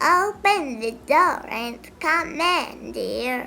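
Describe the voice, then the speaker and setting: A woman puts on a character voice at an extremely high pitch. She speaks at a very slow pace with very wide pitch swings. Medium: read story.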